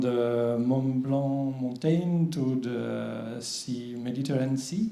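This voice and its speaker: A man talking at a very slow pace, with audible room echo and noticeable background noise. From France. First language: French. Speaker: water agency official. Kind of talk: conference presentation. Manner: halting, many fillers.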